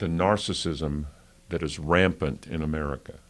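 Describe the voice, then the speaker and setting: Speaking at a fairly slow pace, a man has a very deep, low pitch with vocal fry. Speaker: radio and television broadcaster. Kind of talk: interview answer. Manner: humorous, self-deprecating.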